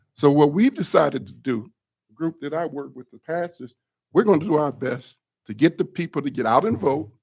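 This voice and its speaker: In an ordinary speaking voice with an American accent, a man talks at a fairly quick pace with fairly high pitch, lively intonation and big swings in loudness. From Michigan, local township area. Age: 60s. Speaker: pastor speaking at public comment. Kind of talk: public comment at township board meeting. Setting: public board meeting room.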